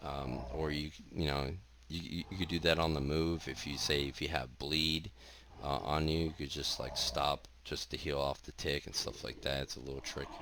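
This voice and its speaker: A man's very deep, low voice with a bright, sharp tone and vocal fry, at a moderate pace with fairly even intonation. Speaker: gamer. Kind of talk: game tutorial talk. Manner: monotone.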